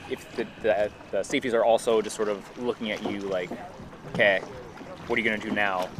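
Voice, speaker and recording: Over noticeable background noise, a man with an American accent talks at a fairly quick pace in a monotone, flat intonation, broken by long, frequent pauses. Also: fairly low pitch for a man. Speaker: livestream commentator. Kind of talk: live event commentary and interview.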